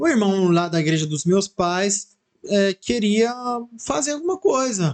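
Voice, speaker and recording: A man speaks at a high pitch with lively intonation and a fairly slow pace. The sound is dry and close, with no echo. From Italy. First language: Italian (speaking Portuguese). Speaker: church member, former missionary. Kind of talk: casual chat.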